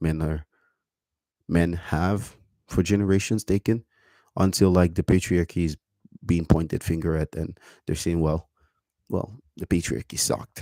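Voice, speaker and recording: In a dry, close recording with no echo, a man with a very deep, low voice and a dark, mellow tone talks at a moderate pace with fairly even intonation. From Cameroon. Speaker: vlogger. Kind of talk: casual monologue to camera.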